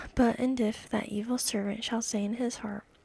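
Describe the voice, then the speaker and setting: Soft-spoken and calm with a soothing tone, a woman with a fairly high pitch talks at a moderate pace in a monotone, flat delivery, with a dry, close sound and no echo. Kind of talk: ASMR Bible reading. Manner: calm, soothing.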